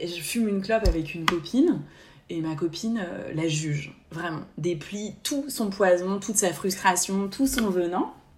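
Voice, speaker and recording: A woman talks at a fairly slow pace with a somewhat breathy voice. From France, Haute-Savoie. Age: 30s. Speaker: podcast co-host, therapist. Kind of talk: casual chat. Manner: halting, repeats words.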